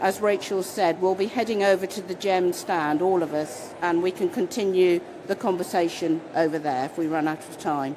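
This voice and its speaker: A woman with a British accent, medium pitch and ordinary pitch variation at a moderate pace, with noticeable background noise. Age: 60s. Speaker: panel chair. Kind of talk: conference panel talk.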